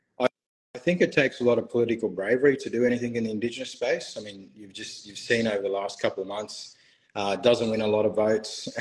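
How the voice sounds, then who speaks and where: Talking at a very fast pace with an Australian accent, a man keeps a medium pitch with ordinary pitch variation and big swings in loudness. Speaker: barrister. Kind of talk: interview. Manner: halting.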